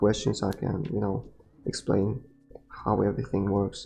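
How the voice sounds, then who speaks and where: A man speaks with a non-native accent in a fairly low pitch. His tone is dark and mellow, and somewhat breathy. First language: not English. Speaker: gaming streamer. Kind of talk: live game commentary. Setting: live stream.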